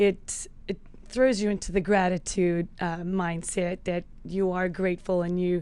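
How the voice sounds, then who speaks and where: A woman's medium-pitched, dark, mellow voice, monotone and flat, at a fairly slow pace with a slight South African accent. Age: 40s. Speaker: health and fitness coach. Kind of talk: podcast interview.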